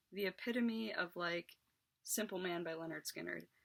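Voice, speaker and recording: A woman speaks at a fairly quick pace with ordinary pitch variation. It is a plain, everyday voice. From West Virginia, Morgan County. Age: 20s. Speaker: YouTuber. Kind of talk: casual storytelling monologue.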